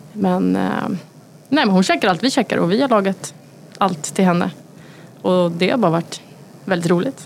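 Speaking at a moderate pace with lively intonation and long, frequent pauses, a woman's medium-pitched voice comes through noticeable background noise. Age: 30s. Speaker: chef. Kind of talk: casual chat.

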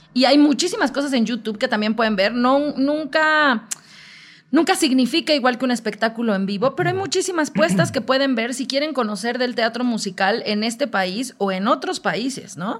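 Her intonation is lively and her pitch high. The woman talks at a moderate pace. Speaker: musical theatre actress. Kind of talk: casual chat.

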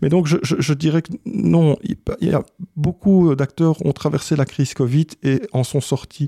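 Speaking at a fairly slow pace, a man with a fairly high pitch and a dark, mellow tone sounds somewhat breathy, with ordinary pitch variation and a dry, close sound with no echo. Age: 40s. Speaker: sound engineer and business owner. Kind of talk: interview. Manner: hesitant with fillers.

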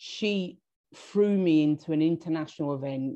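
A woman with a southern English accent speaks at a moderate pace against a quiet background. Her pitch is very deep and low, and her tone dark and mellow. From southern England, Hastings, East Sussex. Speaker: marketing and communications professional. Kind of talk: interview. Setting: video call. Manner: halting, with repeated words.

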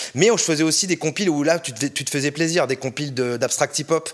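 Talking at a very fast pace, a man has a fairly high pitch. His pitch variation is ordinary. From France, Orléans. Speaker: music label director. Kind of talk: interview. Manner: casual, hesitant with fillers.

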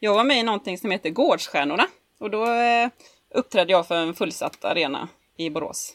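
A woman with an unremarkable speaking voice, lively intonation and a fairly quick pace. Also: medium pitch for a woman. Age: 30s. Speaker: podcast co-host, pinup model. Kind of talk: casual chat.

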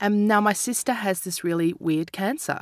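With an Australian accent and ordinary pitch variation, a woman is heard in a very clean, dry, close recording with no echo and a silent background. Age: 40s. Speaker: comedian and author. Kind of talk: casual chat.

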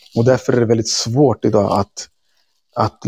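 A man speaks at a moderate pace, his medium-pitched voice carrying a dark, mellow tone. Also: dry, close sound with no echo. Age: 30s. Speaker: activist and teacher. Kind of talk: interview conversation. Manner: halting.

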